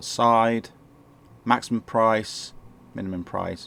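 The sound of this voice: This man's voice sits fairly low, with a fairly bright tone, fairly even intonation and some vocal fry.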